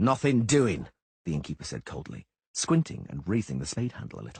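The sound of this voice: An unforced reading voice carries the text. Behind it, the background stays quiet.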